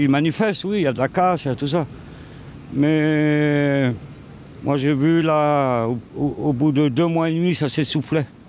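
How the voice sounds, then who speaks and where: This man talks at a very slow pace, his pitch fairly high. His pitch varies in an ordinary way. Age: 60s. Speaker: passer-by in street interview. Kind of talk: street interview.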